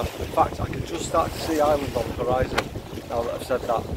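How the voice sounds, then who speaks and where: Loud background noise fills the recording, though the sound itself is dry with no echo. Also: man. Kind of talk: casual vlog chat. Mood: reflective, happy. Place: boat. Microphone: phone near.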